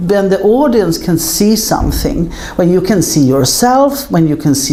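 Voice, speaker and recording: Very wide pitch swings at a moderate pace, with noticeable background noise and audible room echo. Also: woman. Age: 60s. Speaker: film producer. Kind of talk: interview.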